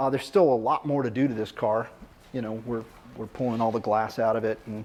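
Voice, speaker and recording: A man talks at a fairly quick pace. His voice sits at a medium pitch, with fairly even intonation. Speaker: car build show host. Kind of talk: casual shop talk. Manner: loud.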